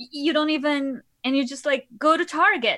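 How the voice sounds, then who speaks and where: At a fairly quick pace, a woman with a Portuguese accent uses a raised, projected voice. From Portugal, Lisbon. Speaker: podcast host and patient. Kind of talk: interview.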